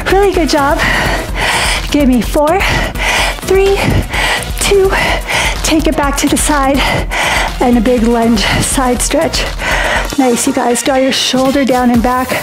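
Long pauses come often. Noticeable background noise accompanies the fairly slow delivery. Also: woman. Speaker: fitness instructor. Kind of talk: workout instruction. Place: home room.

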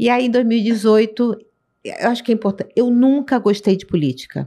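Her voice is fairly high with a dark, mellow tone and lively intonation. The woman speaks at a fairly slow pace. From Rio de Janeiro, Brazil. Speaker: city councillor. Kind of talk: interview. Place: studio. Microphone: studio mic.

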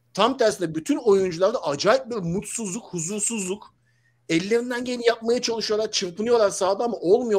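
This man has a high-pitched voice with ordinary pitch variation. He talks at a fairly quick pace. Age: 40s. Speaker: football commentator; football commentator panelist. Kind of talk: casual chat. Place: home room. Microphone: video call.

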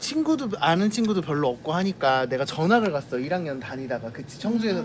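A man speaks at a high pitch with very wide pitch swings. Noticeable background noise is present. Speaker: vlogger eating with shop worker. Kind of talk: casual vlog chat, storytelling. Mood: nostalgic, warm. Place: shop. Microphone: phone near.

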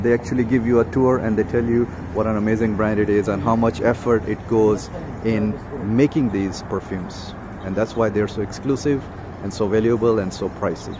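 Here a man with a fairly low pitch speaks at a fairly quick pace. His intonation is fairly even, and there is noticeable background noise. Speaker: travel vlogger. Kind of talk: casual vlog chat. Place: garden. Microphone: phone near.

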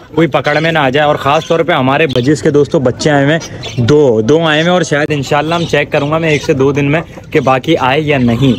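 A man's voice with fairly even intonation and very even loudness, over light background noise. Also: moderate pace. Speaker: pet vlogger. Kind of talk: casual vlog chat. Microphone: phone near.

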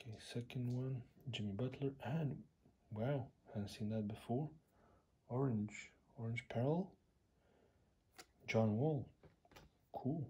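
Very slowly and with long, frequent pauses, a man speaks in a somewhat breathy voice with a dark, mellow tone. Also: ordinary pitch variation. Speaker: trading card collector. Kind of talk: casual talk to camera. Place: home room. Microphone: phone near.

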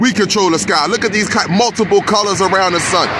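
A man speaks at a moderate pace. Loud background noise fills the recording. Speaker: sky-watching vlogger. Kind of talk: casual vlog commentary. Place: car. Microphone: phone near.

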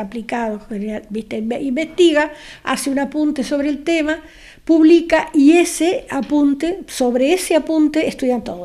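With lively intonation, a woman speaks in a high pitch at a moderate pace. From Argentina, raised in Corral de Bustos, Córdoba; Córdoba, Argentina. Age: old. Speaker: retired writer, interviewee; interviewee. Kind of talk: interview at home, personal life story. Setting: at her home. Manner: talkative. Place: home room. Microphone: handheld.

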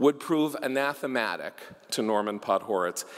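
A man uses lively intonation at a moderate speed, with a quiet background behind him. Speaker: tribute speaker, son of the honoree. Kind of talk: ceremonial tribute speech. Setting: stage with audience. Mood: warm, humorous at times. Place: hall. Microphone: podium.

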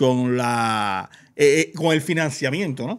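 The background stays quiet while a man talks. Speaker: gossip show host. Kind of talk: casual chat, entertainment news. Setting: studio, live stream. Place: studio. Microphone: studio mic.

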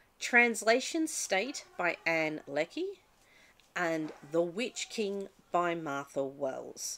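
Speaking very slowly, a woman has a fairly low pitch, a bright, sharp tone and lively intonation. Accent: Australian. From Australia. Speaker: book vlogger. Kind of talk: casual vlog talk; casual vlog chat. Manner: halting, with fillers. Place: home room. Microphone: webcam.

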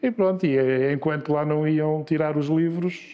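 Using an ordinary speaking voice, a man talks at a fairly high pitch with ordinary pitch variation. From Lisbon, Portugal. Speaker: journalist and media executive. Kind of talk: interview.

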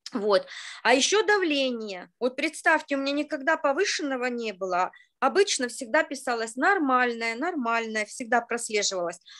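A woman speaks with high pitch, a bright, sharp tone and very wide pitch swings. Her pace is moderate, and the background is quiet. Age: 50s. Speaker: participant sharing a story. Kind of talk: storytelling, testimonial. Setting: video call. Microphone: video call.

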